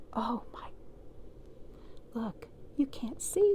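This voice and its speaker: Speaking at a very slow pace, a woman is heard. Noticeable background noise runs throughout. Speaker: children's library storyteller. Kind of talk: children's picture-book storytime read-aloud. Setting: home studio. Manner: expressive, dramatic with emphasis on unfortunately/fortunately.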